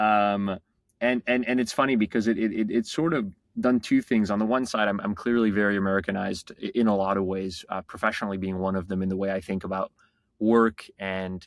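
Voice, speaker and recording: Against a quiet background, a man with a French accent and a fairly low pitch talks at a fairly quick pace with fairly even intonation in a dry, close sound with no echo. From France, Paris. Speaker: tech startup founder. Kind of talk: podcast interview. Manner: halting, many repeated words and fillers.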